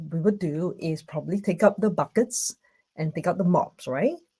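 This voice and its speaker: A woman speaks with a Singaporean accent at medium pitch. Her tone is dark and mellow, and somewhat breathy. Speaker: conference speaker. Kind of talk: online conference talk. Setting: video call from home. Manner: hesitant, many fillers.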